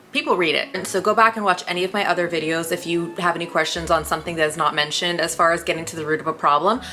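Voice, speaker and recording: Delivery is very fast with hardly any pauses and fairly even intonation, with noticeable background noise behind it. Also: woman, fairly low pitch for a woman. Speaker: lifestyle YouTuber. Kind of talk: casual advice talk to camera.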